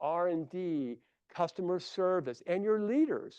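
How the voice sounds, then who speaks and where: A man with a Midwestern US accent speaks in an animated tone at a high pitch. The sound is dry and close with no echo, over a quiet background. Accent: Midwest US. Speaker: consultant and conference speaker. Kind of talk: conference presentation.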